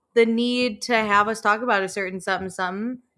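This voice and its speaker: A woman's tone comes out bright and sharp. Her recording is very clean, and the background is silent. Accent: Chicago. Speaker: podcast co-host. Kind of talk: casual chat.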